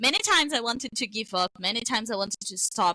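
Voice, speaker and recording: A woman with fairly high pitch talks in an animated tone, her voice dry and close with no echo. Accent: Brazilian. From Brazil. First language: Portuguese. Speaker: webtoon creator. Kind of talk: interview.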